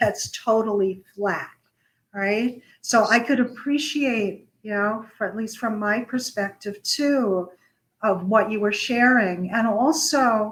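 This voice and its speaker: Somewhat breathy speech moves along at a very slow pace. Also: woman, fairly high pitch for a woman, ordinary pitch variation. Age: 70s. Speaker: psychiatrist, show host. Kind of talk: interview conversation.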